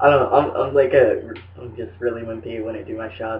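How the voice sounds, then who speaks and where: Moving at a moderate pace, this speech has a somewhat breathy quality. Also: man. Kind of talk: casual vlog talk to camera.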